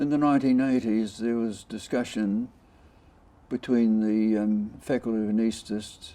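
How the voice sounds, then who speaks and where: In a New Zealand accent, a man speaks at a moderate pace and medium pitch with a dark, mellow tone and fairly even intonation. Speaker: intensive care doctor, former anaesthetist. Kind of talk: oral history interview answer.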